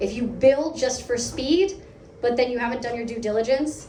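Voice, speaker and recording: Over noticeable background noise and audible room echo, a woman with an American accent speaks at a moderate pace in a fairly high voice. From United States. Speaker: product lead speaker at a meetup. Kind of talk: conference talk.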